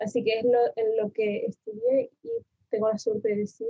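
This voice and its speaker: A woman speaks at a moderate pace in a somewhat breathy, fairly high voice with monotone, flat intonation. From Argentina, Buenos Aires province (Mar del Plata area), moved to Tenerife at 7. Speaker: designer, design contest winner. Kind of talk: interview.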